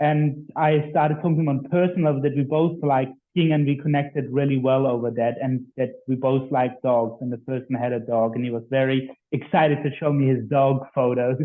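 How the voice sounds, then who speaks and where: A man at medium pitch with a German accent, fairly even intonation and hardly any pauses. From Germany. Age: 20s. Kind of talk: interview.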